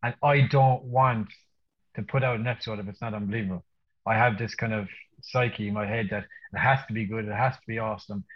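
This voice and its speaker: A man with an Irish accent speaks very fast at a medium pitch, somewhat breathy. His loudness swings widely. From Ireland. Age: 30s. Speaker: wedding photographer. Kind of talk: casual chat. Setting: video call. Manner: animated.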